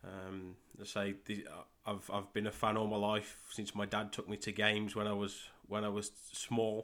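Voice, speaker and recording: A man with an English Midlands accent, fairly low in pitch, monotone and flat, at a moderate pace, on a very clean recording with a silent background. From Midlands, England. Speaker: podcast host and football coach. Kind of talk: solo podcast monologue, pilot episode.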